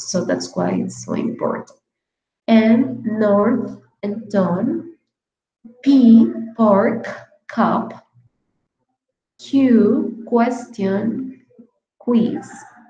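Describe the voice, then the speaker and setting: Over music in the background, a woman with a fairly high pitch speaks at a very slow pace, with ordinary pitch variation and long, frequent pauses. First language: Spanish. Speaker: English teacher. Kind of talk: online lecture.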